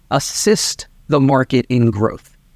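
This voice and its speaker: The man has a medium pitch and an unremarkable speaking voice with ordinary pitch variation. The sound is dry and close, with no echo. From Maryland. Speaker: real estate team leader. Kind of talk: interview.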